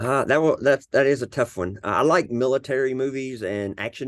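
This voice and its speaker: The speaker has a Southern US accent and ordinary pitch variation. The pace is moderate, and the background is quiet. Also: man. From US South, Arkansas. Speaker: cybersecurity leader and veteran mentor. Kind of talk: casual podcast interview.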